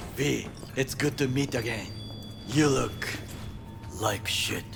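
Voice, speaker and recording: Loud background noise surrounds a cartoonish character voice that moves at a fairly slow pace. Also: man, medium pitch for a man. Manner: dry, blunt.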